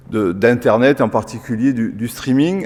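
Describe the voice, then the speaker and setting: A man with a southern French accent talks at a moderate pace amid noticeable background noise. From southern France. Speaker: engineer. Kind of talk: lecture. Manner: halting, many filler sounds.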